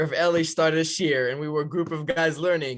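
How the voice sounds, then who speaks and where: With an Israeli accent, a man speaks at a fairly quick pace and a fairly high pitch. The recording is very clean, with a silent background. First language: Hebrew. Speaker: yeshiva counselor. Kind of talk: podcast interview.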